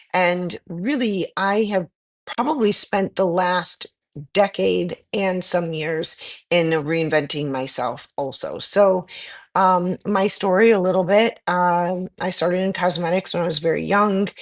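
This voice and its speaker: A woman speaks with an ordinary speaking voice at a fairly slow pace. Her pitch is medium, with ordinary pitch variation. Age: 50s. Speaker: aesthetic nurse. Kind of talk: interview.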